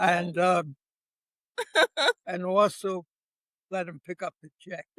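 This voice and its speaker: At a very slow pace, a man talks at a high pitch with monotone, flat intonation and big swings in loudness, in a dry, close sound with no echo. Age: 90s. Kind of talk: interview answer.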